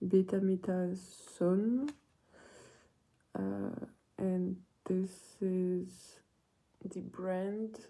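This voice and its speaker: A woman speaks with a French accent at a medium pitch. Her tone is dark and mellow. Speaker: ASMR creator. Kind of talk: casual chat. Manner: soft-spoken.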